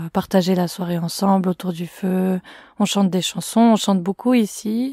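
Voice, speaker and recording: A woman's somewhat breathy, dark and mellow voice at a fairly slow pace with fairly even intonation, in a dry, close sound with no echo and a very clean recording over a silent background. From Switzerland, canton of Fribourg. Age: 20s. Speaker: student activist. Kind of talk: interview.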